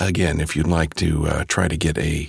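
This man's voice sits at a very deep, low pitch and sounds somewhat breathy. His tone is intense. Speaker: audiobook narrator and voice actor. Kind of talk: dramatic audiobook narration, first-person horror read aloud with hushed, tearful emotion. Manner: hushed, somber and intense, with a cracking, emotional delivery.

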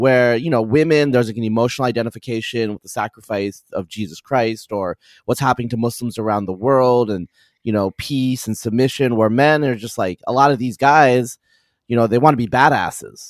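A man with an American accent, medium pitch and ordinary pitch variation, fairly quick pace, a plain, everyday voice. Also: dry, close sound with no echo. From US, Eastern Oregon. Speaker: population geneticist. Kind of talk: casual chat.

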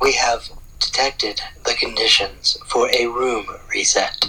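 Speaking at a fairly slow pace, the voice is a put-on character voice. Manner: mechanical, flat.

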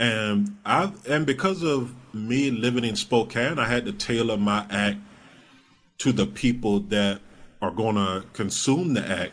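He has an ordinary speaking voice, a man at medium pitch who talks at a fairly slow pace with lively intonation. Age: 30s. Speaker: comedian. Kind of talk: casual chat.

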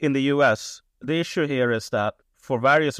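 With a Swedish accent, a man speaks at a fairly slow pace with ordinary pitch variation. The recording is very clean with a silent background and a dry, close sound with no echo. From Sweden. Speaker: writer. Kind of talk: interview.

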